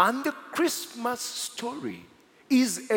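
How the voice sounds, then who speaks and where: A man is talking. Noticeable background noise can be heard. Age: 40s. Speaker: pastor. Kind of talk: sermon. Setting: church. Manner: animated.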